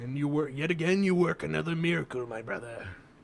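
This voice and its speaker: Putting on a character voice, a man talks very fast at a fairly high pitch. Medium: actual play. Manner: dry, haughty.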